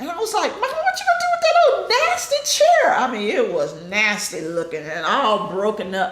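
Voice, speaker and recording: With a Texas accent, the speaker talks at a moderate pace with hardly any pauses, over noticeable background noise and audible room echo. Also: woman. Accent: Southern US (Texas). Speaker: family member recalling her mother. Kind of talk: family group interview.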